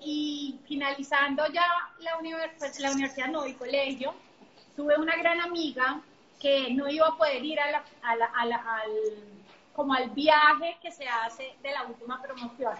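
A moderate tempo carries the speech. Its intonation remains fairly level. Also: woman, high pitch for a woman. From Colombia, Bogotá. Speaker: entrepreneur. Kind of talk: interview.

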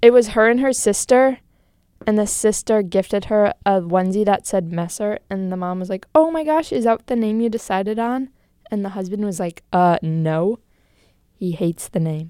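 Lively intonation from a woman at medium pitch and a moderate pace, with a dry, close sound and no echo. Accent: American. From US, Wisconsin (Green Bay). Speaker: college student podcast co-host. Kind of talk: casual chat.

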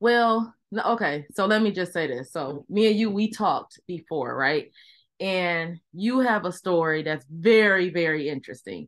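With lively intonation and a fairly slow pace, a woman talks at a medium pitch in an unremarkable speaking voice against a quiet background. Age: 40s. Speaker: podcast host. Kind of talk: casual interview. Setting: video call.

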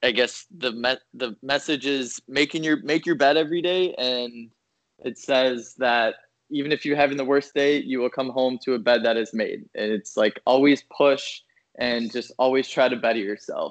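A man speaks with an American accent at a medium pitch and a moderate pace. His pitch varies in an ordinary way, and the sound is dry and close with no echo. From Minnesota. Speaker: finance worker. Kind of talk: casual chat.

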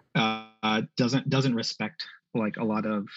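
A man speaks with a New York accent. His pitch is fairly low. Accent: New York American. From Queens, New York (Bangladeshi immigrant family). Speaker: family medicine physician. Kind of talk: interview. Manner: halting, many fillers.

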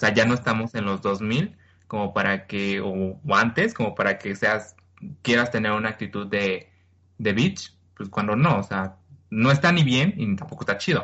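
Ordinary pitch variation and a moderate pace in a normal speaking voice. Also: man, fairly low pitch for a man. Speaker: podcast co-host. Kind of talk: casual chat.

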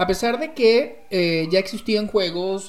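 A man speaks with ordinary pitch variation. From Venezuela, rural agricultural state. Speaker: storyteller, guest co-host. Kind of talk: casual chat.

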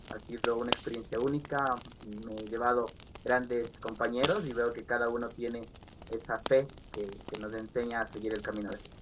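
A man speaks in a flat, monotone voice at medium pitch and a moderate pace. His loudness swings a lot, and there is noticeable background noise. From Riobamba, Ecuador. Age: 20s. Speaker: game contest winner. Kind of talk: casual interview chat.

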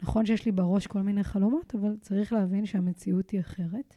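A dark, mellow voice with fairly even intonation moves at a moderate pace in a dry, close recording with no echo. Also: woman, very clean recording, silent background. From Israel, Kiryat Tivon. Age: 30s. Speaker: fitness and mental coach, podcast host. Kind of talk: solo motivational podcast monologue.

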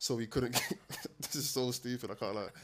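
A man talks at a fairly quick pace in a medium pitch. His pitch moves very little.

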